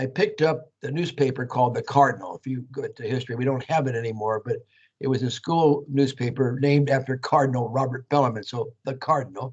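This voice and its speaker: A man with a Californian accent speaks at a very fast pace and a medium pitch. He sounds somewhat breathy, with fairly even intonation. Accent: Californian American English. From US West Coast, Santa Clara, California. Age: 80s+. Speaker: Jesuit priest. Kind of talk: talk to students. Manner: conversational, frequent 'okay'.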